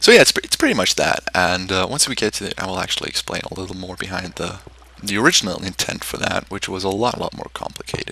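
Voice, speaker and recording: Very fast speech with fairly even intonation and big swings in loudness, set against noticeable background noise. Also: man, very deep, low pitch for a man. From Switzerland. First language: German. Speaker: game content creator. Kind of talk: gameplay commentary. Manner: hesitant, many fillers.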